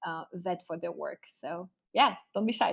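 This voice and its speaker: A woman with a French accent speaks at a fairly slow pace in a fairly low pitch. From France. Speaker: art curator and advisor. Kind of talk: online class lecture. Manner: hesitant with many fillers.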